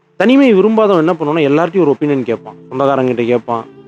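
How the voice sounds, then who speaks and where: Calm in tone yet lively in intonation, a man speaks at a fairly high pitch with music in the background. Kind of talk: sleep podcast talk. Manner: calm, unscripted conversational.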